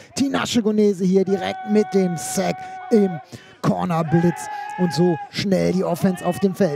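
A man speaks in an energetic, animated tone over noticeable background noise. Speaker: sports commentator, club video voiceover. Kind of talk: sports commentary over game highlights, voiceover recap. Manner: animated, brisk, enthusiastic play-by-play delivery; punchy, energetic, with a promotional call to action at the end.

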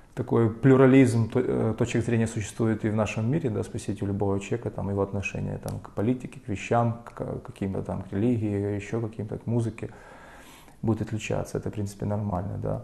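Fairly low-pitched and with fairly even intonation, a man talks at a very fast pace. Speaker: lecturer. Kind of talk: lecture. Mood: ironic, opinionated. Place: classroom. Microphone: camera far.

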